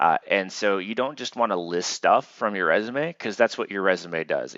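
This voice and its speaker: A man with a very deep, low pitch uses ordinary pitch variation. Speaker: university instructor. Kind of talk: lecture. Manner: fast; casual, filler-heavy.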